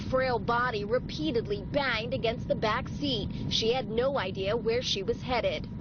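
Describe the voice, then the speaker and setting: Over noticeable background noise, a woman with a fairly high voice talks at a moderate pace. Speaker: TV news reporter. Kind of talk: TV news report.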